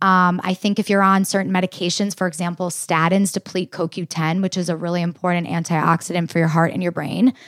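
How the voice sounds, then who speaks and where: A woman's fairly low voice, a normal speaking voice with fairly even intonation, in a very clean recording with a silent background and a dry, close sound with no echo. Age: 20s. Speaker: dietitian. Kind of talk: interview.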